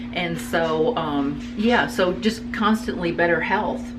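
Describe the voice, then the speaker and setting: Lively intonation from a woman at a medium pitch, with music in the background and audible room echo. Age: 50s. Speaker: interviewee, channel owner's mother. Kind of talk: casual interview. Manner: halting.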